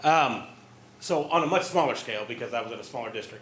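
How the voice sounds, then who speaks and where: A man's voice with audible room echo. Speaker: former school district administrator. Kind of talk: presentation. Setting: school board meeting. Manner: loud.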